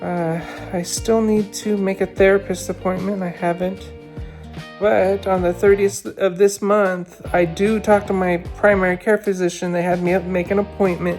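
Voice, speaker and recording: The voice moves at a moderate pace with fairly even intonation, with music in the background. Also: woman, medium pitch for a woman. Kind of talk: casual vlog talk to camera. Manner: hesitant, rambling.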